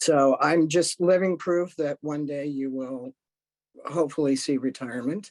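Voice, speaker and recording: A plain, everyday voice at a moderate pace, fairly even in intonation, in a dry, close sound with no echo. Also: man, fairly high pitch for a man. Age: 60s. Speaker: retired discrimination investigator and gender identity educator. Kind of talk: panel discussion.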